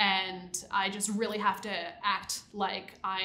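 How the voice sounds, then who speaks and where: A woman's voice comes through with a bright, sharp tone and fairly even intonation. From US Northeast, New Jersey Shore; New Jersey. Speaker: site reliability engineer; interviewee. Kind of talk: interview. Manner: casual, many fillers. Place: studio. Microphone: lapel.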